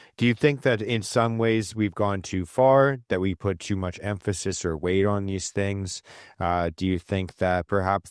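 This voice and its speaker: A man with a normal speaking voice talks at a moderate pace, fairly low in pitch and fairly even in intonation. The recording is very clean with a silent background, and the sound is dry and close, with no echo. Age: 30s. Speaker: podcast host. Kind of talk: podcast interview.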